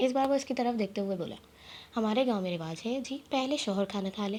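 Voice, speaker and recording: This woman has an ordinary speaking voice, medium in pitch, with ordinary pitch variation. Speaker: audiobook narrator. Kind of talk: novel reading.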